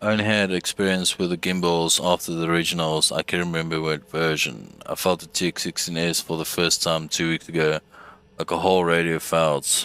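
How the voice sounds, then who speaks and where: With a South African accent, a man speaks in a very deep, low pitch, his tone bright and sharp and his intonation monotone and flat. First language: Afrikaans. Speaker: gaming streamer. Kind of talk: casual gameplay livestream. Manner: casual, halting.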